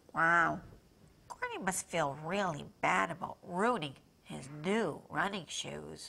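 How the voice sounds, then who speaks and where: A put-on character voice, female-sounding and raspy, fairly low-pitched, at a very slow pace. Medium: puppet show. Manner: grumpy then eager and curious.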